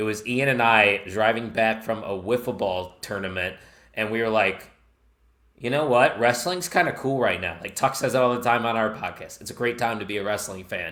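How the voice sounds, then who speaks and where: A man with a Chicago accent speaks in an animated, bright, sharp tone. His pace is moderate and his pitch variation ordinary. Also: medium pitch for a man. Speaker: wrestling podcast host and network founder. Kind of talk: podcast interview. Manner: casual, animated.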